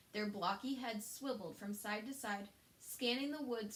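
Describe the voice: The text is read aloud plainly. Ordinary pitch variation marks the delivery.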